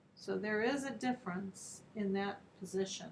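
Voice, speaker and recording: A woman speaks at a fairly slow pace in a normal speaking voice. Her pitch is medium, with fairly even intonation. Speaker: art teacher. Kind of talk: tutorial.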